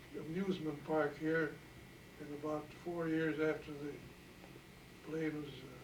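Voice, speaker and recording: Over noticeable background noise, a man with a fairly high pitch speaks at a fairly slow pace in a monotone, flat way, with long, frequent pauses and big swings in loudness. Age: 80s+. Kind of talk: interview answer.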